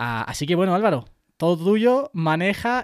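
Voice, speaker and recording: A man with a high pitch and lively intonation is heard in a very clean recording with a silent background. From Spain, Puertollano (Castilla-La Mancha). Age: 20s. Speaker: tech podcaster and YouTuber. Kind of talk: casual interview.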